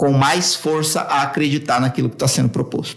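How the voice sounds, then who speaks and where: A man speaks against noticeable background noise. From São Paulo, Brazil. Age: 40s. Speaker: copywriting expert. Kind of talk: podcast interview.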